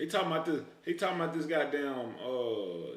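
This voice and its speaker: The speaker has an American accent, with audible room echo and noticeable background noise. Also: man. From Texas. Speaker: streamer. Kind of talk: live reaction stream. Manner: animated.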